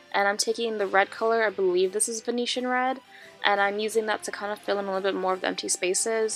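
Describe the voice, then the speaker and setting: Music plays in the background. A woman of medium pitch talks at a very fast pace. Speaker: makeup artist. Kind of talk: makeup tutorial voiceover. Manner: casual, chatty.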